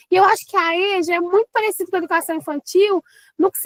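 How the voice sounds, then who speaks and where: A woman's extremely high voice in a mineiro accent, dry, close sound with no echo. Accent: non-Rio accent, mineiro. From eastern Minas Gerais, Brazil (Governador Valadares). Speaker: teacher and teacher trainer. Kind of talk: casual interview.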